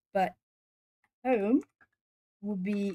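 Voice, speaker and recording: Somewhat breathy with a dark, mellow tone, a woman's voice comes through in a dry, close sound with no echo. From southern Portugal. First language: Portuguese. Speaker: artist streamer. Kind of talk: casual chat. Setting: live stream. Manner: hesitant, many fillers.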